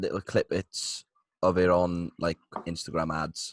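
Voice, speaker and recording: A man at a very slow pace, dry and close with no echo, over a quiet background. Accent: British. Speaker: podcast co-host. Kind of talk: casual chat.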